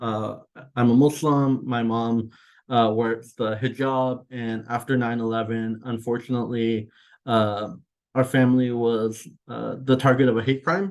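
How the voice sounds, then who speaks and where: This man talks at a fairly slow pace with a Californian accent, a medium pitch and fairly even intonation. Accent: American (California). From Iran, raised in California. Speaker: executive director of an immigrant advocacy group. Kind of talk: webinar remarks. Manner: many filler words (uh, um).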